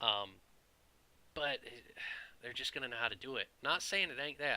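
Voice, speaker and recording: A man with an American accent, a bright, sharp tone and a fairly quick pace. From US South. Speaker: IT professional and video creator. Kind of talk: casual opinion monologue. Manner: animated, conversational.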